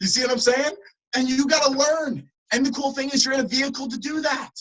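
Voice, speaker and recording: Very fast and at an extremely high pitch, a man talks with a New Jersey accent. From New Jersey (Trenton). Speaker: motivational speaker. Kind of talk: motivational talk. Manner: animated.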